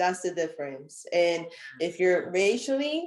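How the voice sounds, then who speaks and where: A woman with an American accent speaks in a normal speaking voice, medium in pitch, with lively intonation. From United States. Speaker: counseling student and personal trainer. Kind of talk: casual conversation.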